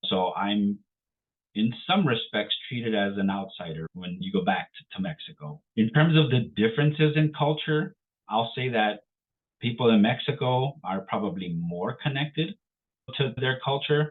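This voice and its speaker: A man with a Chicago accent, medium in pitch, at a moderate pace with very wide pitch swings. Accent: Chicago American English. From Chicago, Little Village. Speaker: Marine Corps veteran. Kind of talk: interview conversation.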